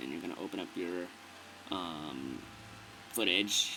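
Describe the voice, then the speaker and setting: A man speaks at a fairly slow pace with ordinary pitch variation, amid audible room echo and noticeable background noise. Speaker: video tutorial maker. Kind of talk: tutorial. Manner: casual; stuttering, many fillers.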